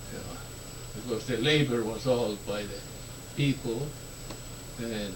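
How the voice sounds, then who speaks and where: Over noticeable background noise, a man with an Estonian accent speaks slowly-ish at a medium pitch, his intonation fairly even. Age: 70s. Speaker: war survivor. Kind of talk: interview answer.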